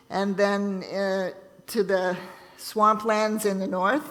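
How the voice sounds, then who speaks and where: Noticeable background noise behind a woman's voice of medium pitch. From Ontario, Canada. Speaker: missionary nurse. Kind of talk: church talk. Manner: halting.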